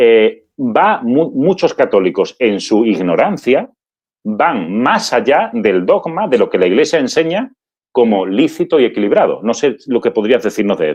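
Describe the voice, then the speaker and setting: In an Andalusian accent, a man talks fairly slowly at a fairly high pitch, his pitch swinging very widely while his loudness stays very even. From Andalusia, Málaga. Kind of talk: interview testimony.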